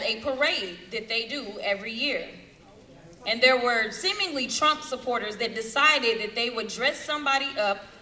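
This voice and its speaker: Against noticeable background noise, a woman speaks at a moderate pace with a high pitch, ordinary pitch variation and a passionate tone. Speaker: US congresswoman, political speaker. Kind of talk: political rally speech. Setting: rally in front of a crowd, microphone. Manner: passionate, impassioned.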